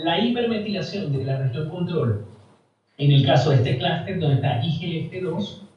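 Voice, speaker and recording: In a room with audible echo, a man speaks at a fairly high pitch with lively intonation. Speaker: university lecturer. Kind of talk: lecture.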